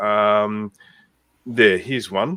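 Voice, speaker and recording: A man speaks with an Australian accent. The recording is very clean, with a silent background. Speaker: community co-founder, live Q&A host. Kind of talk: informal live Q&A.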